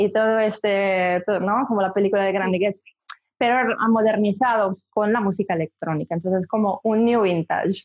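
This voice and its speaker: A woman speaks with an Italian accent at a fairly high pitch. Her pitch varies in an ordinary way. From Italy, Milan. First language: Italian (speaking Spanish). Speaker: singer and DJ. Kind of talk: interview.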